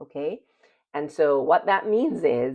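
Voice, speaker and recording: A woman with a slight Jamaican accent speaks with very wide swings in pitch. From Jamaica, Kingston. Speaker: personal development and spirituality channel host. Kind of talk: motivational talk to camera.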